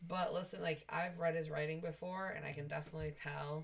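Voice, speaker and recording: Her voice is very deep and low, somewhat breathy, with monotone, flat intonation. The woman keeps a moderate pace. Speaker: host's wife, guest player. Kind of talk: casual chat.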